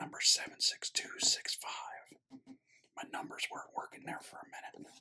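A man whispers at a moderate pace, his loudness swinging widely. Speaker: Lego builder. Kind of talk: ASMR build narration. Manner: whispered. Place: home room.

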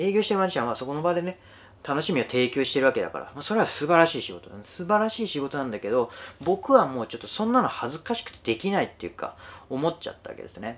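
This man's pitch is fairly high and swings very widely. He talks at a very fast pace. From rural Japan. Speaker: YouTuber, former magician. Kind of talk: casual monologue. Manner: many fillers, conversational. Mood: reflective, self-deprecating. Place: home room.

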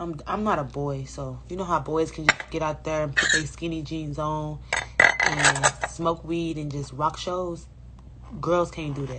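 Loud background noise runs beneath a woman speaking at a fairly slow pace. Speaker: live streamer. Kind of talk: casual live stream chat. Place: home room. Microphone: phone near.

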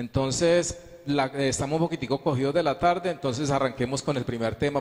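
A man speaks at a medium pitch with a slightly mellow tone. His pace is moderate and his intonation fairly even.

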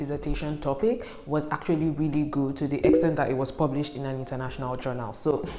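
A woman with a very deep, low pitch speaks at a very fast pace with hardly any pauses. Faint music plays in the background, and audible room echo is present. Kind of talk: casual vlog chat. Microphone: lapel.

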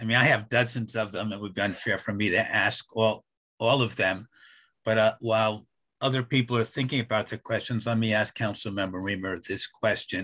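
A man's medium-pitched, bright, sharp voice at a moderate pace, with fairly even intonation and a quiet background. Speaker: community group organizer. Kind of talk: moderated Q&A. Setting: video call.

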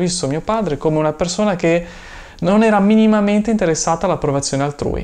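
A man's high-pitched speech rushes along at a very fast pace with lively intonation. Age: 30s. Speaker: YouTuber and online seller; YouTuber, online seller. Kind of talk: personal vlog monologue. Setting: room full of inventory boxes. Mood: thoughtful, personal. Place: home room.

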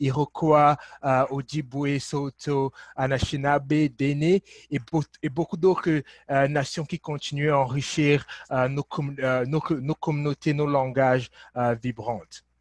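Somewhat breathy, a man speaks with fairly even intonation and long, frequent pauses against a quiet background. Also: dry sound with no echo. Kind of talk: event hosting address. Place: office. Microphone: webcam.

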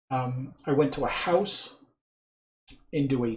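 A man's fairly high voice sounds somewhat breathy. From England. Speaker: clog dance instructor. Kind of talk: tutorial.

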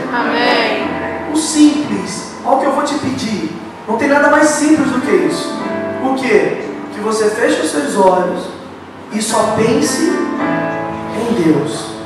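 Over clear music in the background, a man speaks at a very slow pace with audible room echo. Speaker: preacher. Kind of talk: sermon. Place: church.

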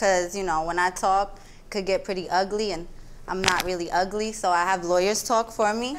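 Over noticeable background noise, a woman speaks at a moderate pace with fairly even intonation. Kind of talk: courtroom testimony, casual. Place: stage.

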